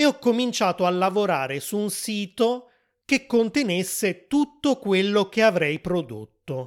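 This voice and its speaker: In a very clean recording with a silent background, a man with a high pitch talks at a fairly slow pace, his pitch swinging very widely. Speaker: podcast host and Italian teacher. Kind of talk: scripted monologue for language learners. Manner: clear, deliberate.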